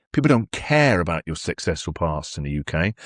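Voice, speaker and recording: A man with a British accent speaks at a very deep, low pitch. The recording is very clean, with a silent background. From England. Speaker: radio host. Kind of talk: interview answer.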